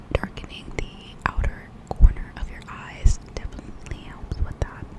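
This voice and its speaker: Whispering in a gentle tone, a woman speaks over noticeable background noise. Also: fairly slow pace, big swings in loudness. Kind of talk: ASMR makeup tutorial talking to camera. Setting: close microphone, home recording. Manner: whispered, gentle.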